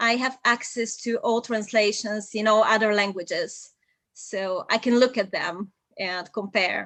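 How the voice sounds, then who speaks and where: Against a quiet background, a woman with a Bulgarian accent talks fairly slowly at a fairly high pitch with fairly even intonation. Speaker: polyglot and translator. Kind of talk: live video interview.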